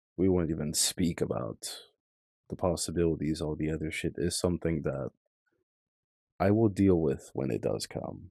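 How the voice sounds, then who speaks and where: In a very clean, dry, close recording with a silent background and no echo, a man with a very deep, low pitch, a dark, mellow tone and vocal fry speaks at a moderate pace, using ordinary pitch variation and long, frequent pauses. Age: 20s. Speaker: commentary vlogger. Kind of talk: casual monologue. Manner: relaxed.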